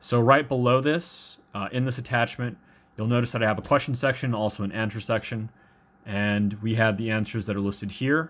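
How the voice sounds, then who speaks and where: At a fairly quick pace, a man speaks in a medium pitch with fairly even intonation. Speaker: math instructor. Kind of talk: lecture. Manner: hesitant, stumbling with fillers.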